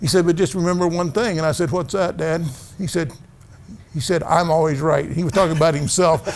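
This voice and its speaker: Loud and fairly quick, a man with a Midwestern US accent speaks at a high pitch with ordinary pitch variation. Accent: US Midwest. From Missouri, rural farming community. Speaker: family physician. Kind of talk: casual interview. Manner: gets louder when excited.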